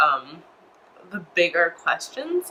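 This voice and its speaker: A woman with an American accent amid noticeable background noise. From United States. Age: 20s. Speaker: religious convert vlogger. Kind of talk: personal testimony. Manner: hesitant, many fillers.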